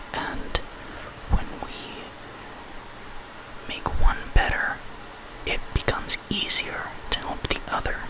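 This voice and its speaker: Whispering at a very slow pace with long, frequent pauses, a man speaks over noticeable background noise. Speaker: ASMR artist. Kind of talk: ASMR role play, emotional support. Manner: whispered, soft-spoken.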